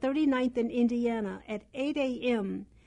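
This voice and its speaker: Pitched high, a woman with an American accent speaks in a dark, mellow tone with fairly even intonation. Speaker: radio host and magazine editor. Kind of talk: talk radio. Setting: radio studio.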